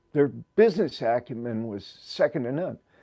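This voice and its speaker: A man's dark, mellow tone with very wide pitch swings over a quiet background. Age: 60s. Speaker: livestream host, former prisoner. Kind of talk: casual livestream talk. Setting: live stream. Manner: rambling with fillers and repetitions.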